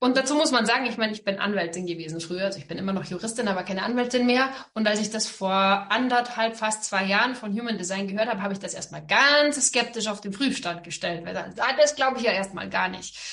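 A woman talks at a very fast pace with hardly any pauses. Her voice is fairly high and bright, sharp in tone, with ordinary pitch variation. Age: 40s. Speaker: entrepreneur and business coach, former lawyer. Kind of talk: interview.

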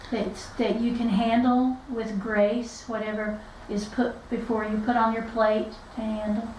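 A woman's fairly high voice with an Appalachian accent and monotone, flat intonation, amid noticeable background noise and audible room echo. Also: moderate pace. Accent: Southern Appalachian American. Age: 60s. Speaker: podcast co-host, author. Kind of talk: casual chat.

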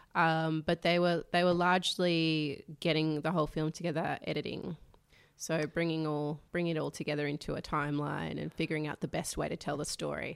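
Speaking at a fairly quick pace, a woman has a very deep, low pitch and an Australian accent. Her intonation is monotone and flat, in a very clean recording with a silent background. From Sydney, Northern Beaches (Manly). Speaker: documentary producer. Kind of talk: casual chat. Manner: soft-spoken.

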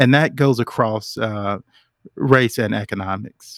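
In a very clean recording with a silent background, a man with an American accent speaks with ordinary pitch variation in a dry, close sound with no echo. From Charlotte, North Carolina. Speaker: executive. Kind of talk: panel discussion. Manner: halting.

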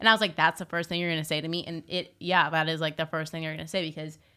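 A woman with an American accent speaks very fast at a fairly low pitch, her tone bright and sharp with vocal fry. The recording is very clean, with a silent background. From Southern California (Newport Beach). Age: young. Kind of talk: casual interview chat.

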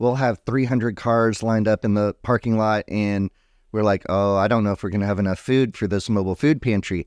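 An American-accented man has an ordinary speaking voice, fairly low pitch, fairly even intonation and very even loudness, recorded dry and close with no echo against a quiet background. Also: fairly quick pace. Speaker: YMCA director. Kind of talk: casual chat.

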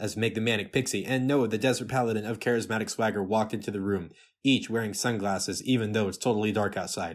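This is an unforced reading voice. The text is read in that way throughout.

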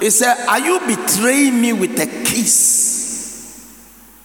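Against noticeable background noise, a man with a Ghanaian accent speaks in an extremely high voice. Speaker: pastor. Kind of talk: sermon. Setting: church. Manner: rapid run-on preaching, reading scripture then riffing without pause; call-and-response, repeatedly prompting the congregation to say amen.

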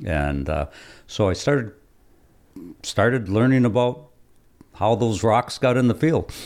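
Speaking with an American accent at a fairly slow pace, a man at medium pitch makes very wide pitch swings and leaves long, frequent pauses. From Michigan Upper Peninsula (Keweenaw area). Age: 60s. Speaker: retired engineering professor. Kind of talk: interview.

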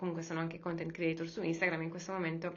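This woman's voice sits at a fairly low pitch. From Sardinia, Cagliari. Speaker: yoga teacher and startup founder. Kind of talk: interview.

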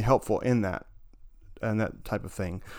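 Fairly even intonation from a man with a Southern US accent, very cleanly recorded against a silent background. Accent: Southern American. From US South, northern Alabama. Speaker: musician and writer. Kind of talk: interview. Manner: halting, with fillers and repetitions.

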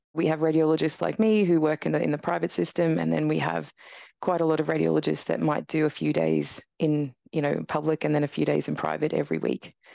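Against a quiet background, a woman talks very fast with an Australian accent. Her loudness stays very even. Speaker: radiologist and professor. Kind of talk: interview conversation.

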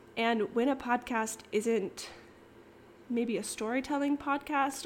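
At a fairly slow pace, a woman with an American accent talks in a fairly high pitch with ordinary pitch variation. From Kansas. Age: 20s. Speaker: podcast host. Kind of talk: casual monologue. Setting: recording at home in living room. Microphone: possible echo, home recording.

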